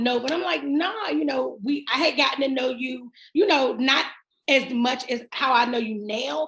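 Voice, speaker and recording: A woman speaks loudly at a moderate pace. Her pitch is high. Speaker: diabetes advocate. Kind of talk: casual chat.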